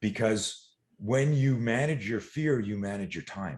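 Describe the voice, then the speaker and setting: A man's animated tone against a quiet background. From eastern Canada. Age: 60s. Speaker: self-defense and fear management coach. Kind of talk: podcast interview.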